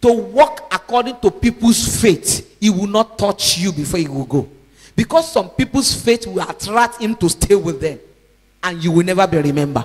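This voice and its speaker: High-pitched, this man's voice moves in very wide pitch swings. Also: moderate pace. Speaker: evangelist preacher. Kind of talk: sermon.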